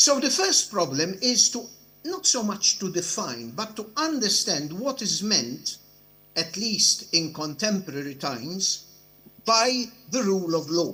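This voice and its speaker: A man speaks in a raised, projected voice that is high for a man, bright and sharp in tone, with very wide pitch swings and a fairly slow pace. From Europe. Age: 70s. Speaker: judge. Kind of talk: conference speech. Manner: formal.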